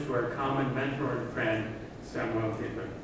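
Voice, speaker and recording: The man's voice carries strong room echo, with noticeable background noise. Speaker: speaker. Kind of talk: memorial lecture. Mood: warm, respectful tribute. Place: hall.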